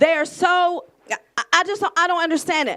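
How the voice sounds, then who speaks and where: A woman speaks loudly at a fairly slow pace. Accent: American. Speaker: audience member. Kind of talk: testimony. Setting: community event with audience. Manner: halting.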